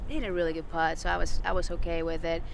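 A woman talks at a very fast pace with fairly even intonation. The sound is dry with no echo, and there is noticeable background noise. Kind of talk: interview answer. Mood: pleased, reflective. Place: open country.

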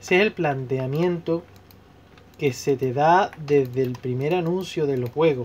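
Pitch varies in an ordinary way in this clip, a normal speaking voice. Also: man, fairly high pitch for a man. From Spain, Seville. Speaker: gaming YouTuber. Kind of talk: casual vlog commentary while playing.

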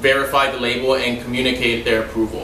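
Talking at a very fast pace, a man is heard with audible room echo and light background noise. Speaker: server demonstrating wine service. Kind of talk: tutorial. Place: home room. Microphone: camera far.

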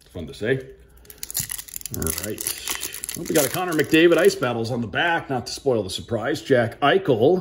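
Upbeat and enthusiastic in tone, a man speaks at a moderate pace with very wide pitch swings. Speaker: radio play-by-play broadcaster. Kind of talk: casual talk to camera. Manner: upbeat, enthusiastic. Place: home room. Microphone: phone near.

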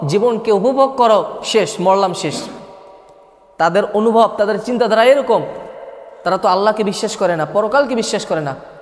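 Over noticeable background noise and audible room echo, a man talks at a high pitch with ordinary pitch variation. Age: 20s. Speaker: Islamic preacher. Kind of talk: sermon.

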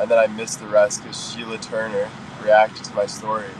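A man talks at a moderate pace with fairly even intonation. The sound is dry with no echo, over light background noise. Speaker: livestreamer. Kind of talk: casual livestream chat reading comments. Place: car. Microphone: phone near.

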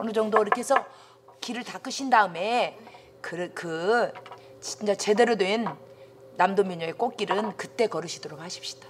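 A woman talks fairly slowly while noticeable background noise continues around her. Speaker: folk song teacher. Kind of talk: lecture. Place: classroom.

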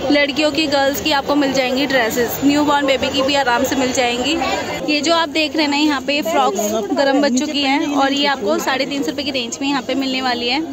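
A woman talks at a moderate pace with hardly any pauses, the sound dry with no echo and crowd noise in the background. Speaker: market vlogger. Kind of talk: casual vlog chat. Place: market. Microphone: phone near.

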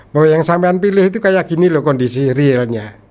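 Lively intonation runs through this man's speech. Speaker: newspaper cartoonist. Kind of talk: casual interview; interview answer. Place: studio. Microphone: studio mic.

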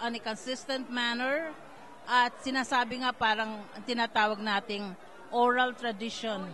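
Over light background noise, a woman with a high voice speaks at a very slow pace. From Philippines. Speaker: community leader; guest. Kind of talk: event interview. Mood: warm, hopeful. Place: hall. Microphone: handheld.

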